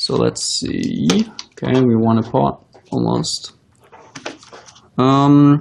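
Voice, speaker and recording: In a non-native accent, the speaker talks at a very slow pace with long, frequent pauses. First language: not English. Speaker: professional poker player. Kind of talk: live-stream commentary and Q&A. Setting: live stream while playing online.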